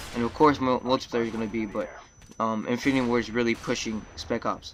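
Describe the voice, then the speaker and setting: Over noticeable background noise, a man speaks at a medium pitch. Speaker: gaming commentator. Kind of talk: gameplay commentary. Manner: stuttering, many filler words.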